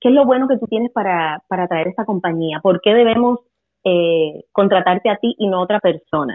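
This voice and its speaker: A plain, everyday voice from a woman, medium in tempo and lively in intonation. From Puerto Rico. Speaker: English teacher. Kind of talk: casual chat.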